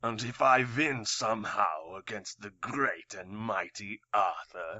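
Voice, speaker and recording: A man puts on a raspy character voice at medium pitch, speaking at a fairly slow pace with big swings in loudness. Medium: audio drama. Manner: calm, sardonic, self-assured.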